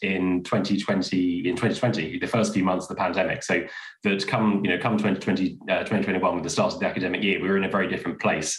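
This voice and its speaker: A man talks at a very fast pace, with audible room echo and a quiet background. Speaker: school head teacher. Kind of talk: interview. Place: home room. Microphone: webcam.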